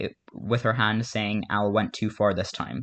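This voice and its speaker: The man speaks at a moderate pace and medium pitch. His intonation is fairly even. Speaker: fan commentator recapping a cartoon fan story. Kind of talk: casual storytelling narration. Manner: halting, many fillers and restarts.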